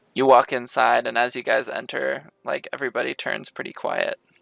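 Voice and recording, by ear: A voice reading aloud in a natural voice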